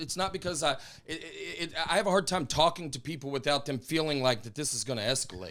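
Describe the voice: Very fast and lively in intonation, a man speaks with a bright, sharp tone at a fairly high pitch.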